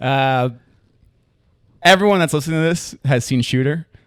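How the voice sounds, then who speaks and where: The speaker has a strong Long Island accent and ordinary pitch variation. The recording is very clean with a silent background and a dry, close sound with no echo. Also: man. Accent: Long Island, thick. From Long Island, New York. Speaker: comedian. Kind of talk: casual chat.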